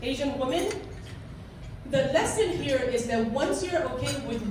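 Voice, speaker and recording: A high-pitched woman's voice with a Korean accent, amid noticeable background noise and audible room echo. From South Korea. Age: 50. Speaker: business executive. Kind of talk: public speech.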